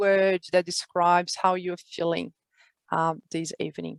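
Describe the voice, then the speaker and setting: In a Brazilian accent, a woman talks at a fairly slow pace, her voice dry and close with no echo. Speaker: community host and executive coach. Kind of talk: online meeting introduction. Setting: video call. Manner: hesitant, many fillers.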